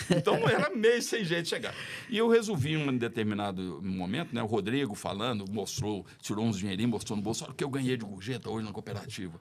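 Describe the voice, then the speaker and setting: A man talks at a very fast pace and a medium pitch, with hardly any pauses. His intonation is lively, and there is noticeable background noise. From Brazil, Belo Horizonte. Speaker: podcast guest. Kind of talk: casual chat.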